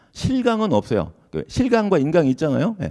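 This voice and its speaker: With very wide pitch swings and a dark, mellow tone, a man talks at a moderate pace. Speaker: law lecturer at exam prep academy. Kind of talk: lecture at info session. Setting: lecture hall with audience.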